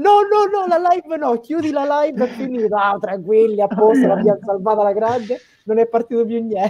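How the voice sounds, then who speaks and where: Someone speaks at a fairly quick pace against light background noise. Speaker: wrestling show panelist. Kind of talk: casual chat. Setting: video call. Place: home room. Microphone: video call.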